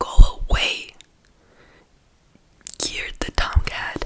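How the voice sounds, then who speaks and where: A voice speaks in a whisper. Behind it, background noise is noticeable. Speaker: ASMR creator. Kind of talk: bedtime story reading. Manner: soft-spoken, whispered. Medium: read story.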